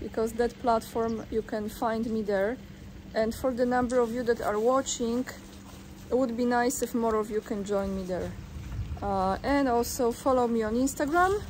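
A woman speaks at a moderate pace with a fairly high pitch. Her intonation stays fairly even over light background noise. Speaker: video blogger commenting on news. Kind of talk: reading an article aloud with commentary. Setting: outdoors. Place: waterside. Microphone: phone near.

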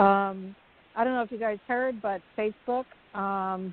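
A normal speaking voice moves at a moderate tempo, its intonation fairly even. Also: woman. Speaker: talk show co-host. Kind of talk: casual discussion.

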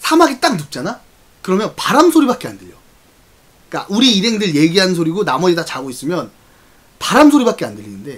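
This man's pitch jumps in very wide swings. His pace is very fast. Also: big swings in loudness. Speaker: live streamer. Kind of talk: casual storytelling to stream viewers. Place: home room. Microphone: studio mic.

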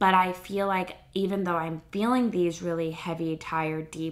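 At a fairly slow pace, a woman speaks with a fairly low pitch and fairly even intonation. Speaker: lifestyle vlogger. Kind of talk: casual vlog chat. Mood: warm, reflective. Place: home room. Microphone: phone near.

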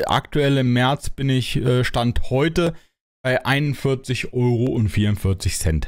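The background stays quiet behind a man whose pitch sits in the middle range. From Germany. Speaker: gaming YouTuber. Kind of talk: casual Q&A monologue. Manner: hesitant, many filler sounds. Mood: relaxed, cheerful. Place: home room. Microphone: studio mic.

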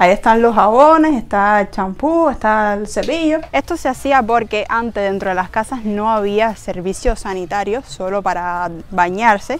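A woman with a Cuban accent talks at a fairly slow pace in a fairly high pitch with lively intonation. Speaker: vlogger. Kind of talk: casual house tour talk to camera.

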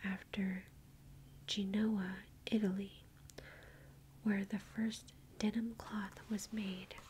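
A woman with an American accent speaks at a very slow pace, soft-spoken and somewhat breathy, in a gentle tone. Light background noise can be heard. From United States. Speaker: ASMR video creator reading facts. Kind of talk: whispered ASMR reading of trivia. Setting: home recording with book, tapping and page turning. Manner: soft-spoken, gentle, slow and intimate; playful, reacting with curious surprise.

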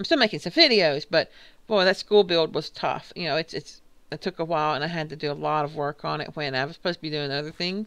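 At a very fast pace, a woman with a very deep, low pitch speaks with ordinary pitch variation. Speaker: gaming YouTuber. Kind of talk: gameplay commentary. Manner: casual, chatty.

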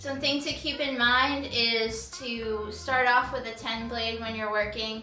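A woman at a fairly slow pace with fairly even intonation, faint background music, and audible room echo. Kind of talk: tutorial. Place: home room. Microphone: camera far.

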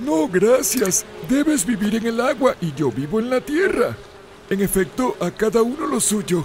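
Over clear background noise, a man uses a cartoonish character voice at a high pitch and a moderate pace. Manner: good-natured, bumbling.

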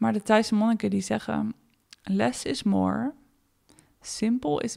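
A woman at a very slow pace. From Netherlands. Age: 30s. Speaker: podcast host. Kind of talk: reflective solo podcast monologue.

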